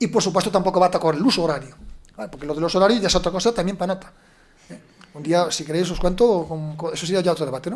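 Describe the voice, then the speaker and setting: This man has a high-pitched voice with lively intonation. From Galicia, Costa da Morte. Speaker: panel speaker, time-zone expert. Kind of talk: panel debate talk.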